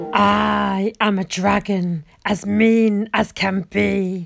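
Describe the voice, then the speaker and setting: A woman's raspy, put-on character voice at medium pitch and a very slow pace. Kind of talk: read story. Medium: read story. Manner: loud, roaring.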